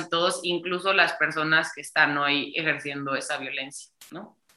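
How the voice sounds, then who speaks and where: A woman talks in an ordinary speaking voice. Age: 20s. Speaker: political communication student and feminist activist. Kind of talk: interview.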